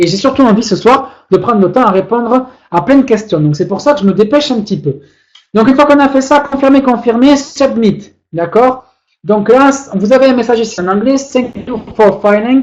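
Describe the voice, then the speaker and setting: This man talks at a moderate pace with an extremely high pitch. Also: ordinary pitch variation. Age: 30s. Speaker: webinar presenter promoting trading platform. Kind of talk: tutorial webinar. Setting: online webinar. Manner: hesitant fillers.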